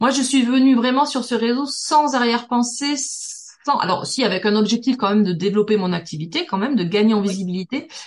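A woman speaks at a fairly quick pace in an unremarkable speaking voice with a fairly high pitch. Her intonation is lively. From southern France, Toulouse. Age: 40s. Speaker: business networking expert. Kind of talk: podcast interview.

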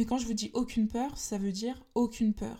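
A woman speaks at a fairly quick pace, somewhat breathy and fairly high-pitched, with a dark, mellow tone and monotone, flat intonation. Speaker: podcast host, personal development and spirituality. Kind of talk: solo monologue podcast.

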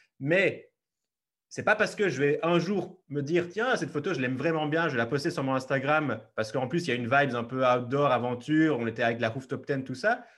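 Against a quiet background, a man with an unremarkable speaking voice talks at a fairly quick pace, lively in intonation and fairly high in pitch. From Belgium, Liège region. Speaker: travel photographer. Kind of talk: interview.

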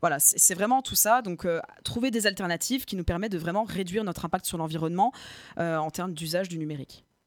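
A woman talks at a very fast pace. Her voice sits at a medium pitch with ordinary pitch variation. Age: 20s. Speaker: communication agency founder. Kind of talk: interview. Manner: hesitant with many fillers.

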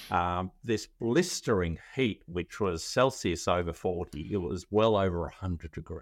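A man with an Australian accent speaks at a moderate pace in a very deep, low voice with ordinary pitch variation, on a very clean recording with a silent background. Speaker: legal tech founder, former lawyer. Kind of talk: interview.

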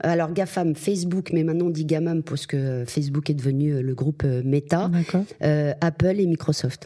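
Her pitch sits very deep and low for a woman, with fairly even intonation. She keeps a moderate pace. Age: 50s. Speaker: media agency executive. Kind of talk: interview. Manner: hesitant, many fillers.

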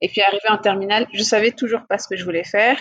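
Very fast female speech at a mid-range pitch, the intonation fairly level throughout. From West and Central Africa (Mali, Senegal, Cameroon). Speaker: business executive. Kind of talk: interview. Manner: hesitant with fillers.

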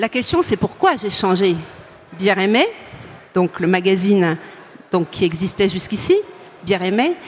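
A woman speaks with long, frequent pauses. Noticeable background noise is present. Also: medium pitch for a woman, fairly even intonation, moderate pace. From France, Franche-Comté. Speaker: beer sommelier, author and editor. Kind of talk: conference talk. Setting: stage with live audience at a trade fair.

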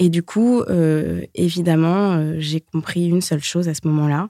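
A woman speaks at a fairly slow pace with fairly even intonation, her fairly low voice dark and mellow in tone. The sound is dry and close, with no echo. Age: 30s. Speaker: singer-songwriter and recovered anorexia patient. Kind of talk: personal testimony interview.

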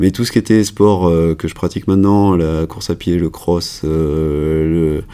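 With noticeable background noise behind him, a man with a very deep, low pitch speaks at a very slow pace and fairly even intonation. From France, Cantal (Auvergne). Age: 40s. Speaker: emergency and sports doctor. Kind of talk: casual interview. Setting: in person, same room.

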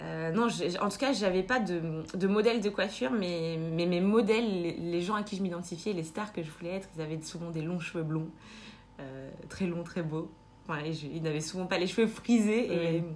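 Audible room echo surrounds a woman speaking at a fairly low pitch and a moderate pace, with ordinary pitch variation. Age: 20s. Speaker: nurse. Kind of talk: casual chat. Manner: halting.

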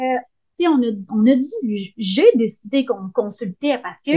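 In a Quebec accent, a woman talks at a fairly slow pace with an animated tone. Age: 30s. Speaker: hairdresser. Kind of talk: casual interview.

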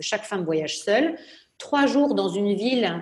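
In an unremarkable speaking voice, a woman with a medium pitch talks at a moderate pace with lively intonation. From southern France, Nice. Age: 30s. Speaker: entrepreneur. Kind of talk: interview.

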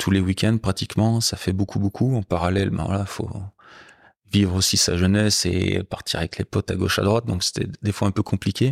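In a very clean recording with a silent background, a man speaks at a fairly quick pace in an unremarkable speaking voice. His pitch is fairly low, his intonation fairly even, and the sound dry and close with no echo. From France, Haute-Loire. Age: 50s. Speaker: motorcycle guide and club president. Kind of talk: casual interview. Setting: at his home.

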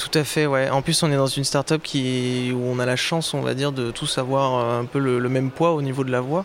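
This man talks in a monotone, flat intonation at a medium pitch. Noticeable background noise runs underneath. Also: moderate pace. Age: 20s. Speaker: project manager at a tech start-up. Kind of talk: interview. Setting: live at a trade fair.

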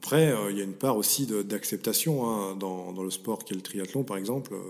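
A man talks at a fairly low pitch and a moderate pace, his pitch varying in an ordinary way. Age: 40s. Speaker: mental performance coach. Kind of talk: interview. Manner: halting, repeats words.

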